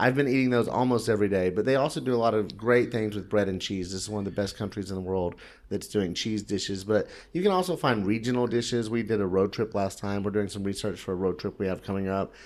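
With a normal speaking voice and an American accent, a man talks at a fairly quick pace, his fairly low pitch showing ordinary variation, in a very clean recording with a silent background. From Oklahoma. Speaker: food and travel blogger. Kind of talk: casual chat. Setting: in person, recorded in Tbilisi.

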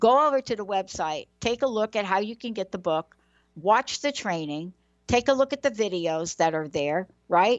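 Lively intonation marks a woman's speech at a medium pitch. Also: moderate pace. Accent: New York. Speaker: talk show host. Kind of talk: interview show giveaway segment. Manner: animated.

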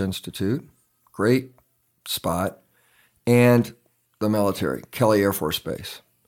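On a very clean recording with a silent background, a man with an American accent talks with ordinary pitch variation. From grew up around the world as army child, mostly San Antonio, Texas. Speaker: entrepreneur, engineer. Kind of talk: interview.

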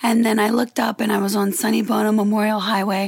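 Against noticeable background noise, a woman with an American accent speaks at a very fast pace. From Louisiana, US South. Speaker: model and influencer. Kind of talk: casual chat.

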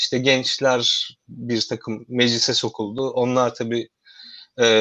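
In a monotone, flat intonation, a man talks fairly slowly. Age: 30s. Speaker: podcast host and academic researcher. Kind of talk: interview hosting. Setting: video call from home.

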